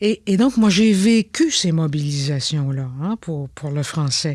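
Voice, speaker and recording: The woman talks very slowly. Her pitch ranges very widely, high to low. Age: 70s. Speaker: former politician. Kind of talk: interview.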